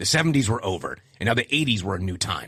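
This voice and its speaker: Very cleanly recorded against a silent background, a man speaks in an ordinary speaking voice at a medium pitch, with a fairly quick pace and lively intonation. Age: 40s. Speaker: podcast host. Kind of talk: podcast monologue.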